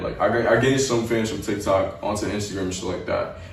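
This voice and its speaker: Against noticeable background noise, a man speaks with an American accent. His pace is fairly quick and his intonation fairly even. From New York City, Staten Island. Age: young. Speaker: rapper. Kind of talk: casual interview. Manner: casual, filler-heavy.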